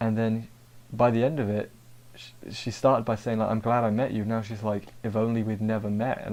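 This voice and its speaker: A man's medium-pitched voice, dark and mellow in tone, with monotone, flat intonation at a moderate pace on a very clean recording with a silent background. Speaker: anime episode reviewer. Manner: monotone delivery.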